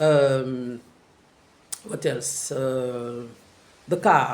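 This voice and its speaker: French accent from a male speaker. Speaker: travel vlogger. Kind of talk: casual vlog monologue. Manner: halting, many fillers and repeats.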